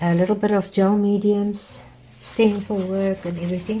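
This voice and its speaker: Music plays behind a woman speaking at a moderate pace. She has a South African accent and ordinary pitch variation. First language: Afrikaans. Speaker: art teacher. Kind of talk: tutorial. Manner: halting.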